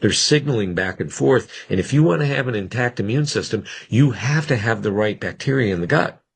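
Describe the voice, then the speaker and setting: With lively intonation, a man with a medium-pitched, somewhat breathy voice talks at a moderate pace against a quiet background. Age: 60s. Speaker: physician. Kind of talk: interview. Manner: conversational, with frequent restarts.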